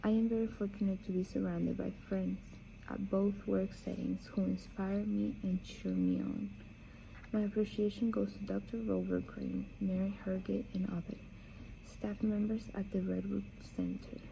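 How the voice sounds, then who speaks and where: This woman talks with a Spanish accent. She keeps a moderate pace. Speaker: book reader. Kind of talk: reading aloud; casual chat. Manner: halting.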